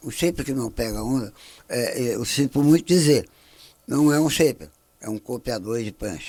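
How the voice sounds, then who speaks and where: Dark and mellow in tone, a man speaks with medium pitch and ordinary pitch variation. His pace is moderate, broken by long, frequent pauses. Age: 60s. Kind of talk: podcast interview. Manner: halting.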